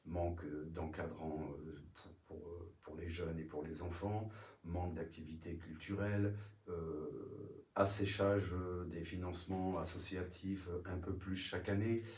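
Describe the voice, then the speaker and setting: Very slow, somewhat breathy speech with fairly even intonation, big swings in loudness, and audible room echo. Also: man, very deep, low pitch for a man. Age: 60s. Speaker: retired municipal police officer, local political candidate. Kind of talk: political interview. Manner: halting, many hesitations.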